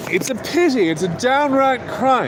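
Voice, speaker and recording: A man with an extremely high pitch speaks over noticeable background noise. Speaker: street preacher.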